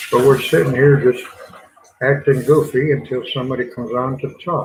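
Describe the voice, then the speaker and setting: This man speaks with a Southern US accent at a medium pitch. His pace is moderate and his intonation fairly even. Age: 70s. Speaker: gardening channel host. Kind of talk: casual livestream chat. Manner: relaxed, rambling.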